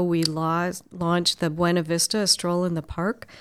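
Pitched fairly low, a woman talks in an unremarkable speaking voice, captured in a very clean recording with a silent background. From Minnesota, Twin Cities lake area. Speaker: chamber of commerce president. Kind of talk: interview conversation. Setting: office.

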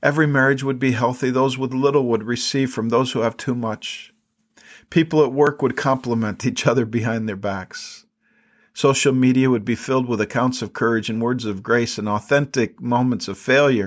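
A man talks in a plain, everyday voice at a medium pitch. His pace is moderate and his intonation fairly even. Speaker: podcast host and Bible teacher. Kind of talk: fervent closing prayer, spoken aloud to God, earnest and pleading; devotional teaching, scripture study talk.

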